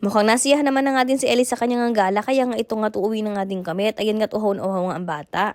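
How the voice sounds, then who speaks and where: A woman with a fairly high pitch talks at a very fast pace with hardly any pauses. Her tone is animated, with ordinary pitch variation. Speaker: vlogger. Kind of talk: vlog narration. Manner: chatty, animated.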